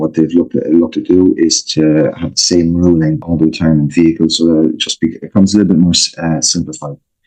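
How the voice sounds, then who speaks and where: A man in an Irish accent with a very deep, low pitch, a dark, mellow tone, fairly even intonation and a very fast pace. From Ireland. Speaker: financial planner. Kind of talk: interview. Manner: hesitant, many fillers.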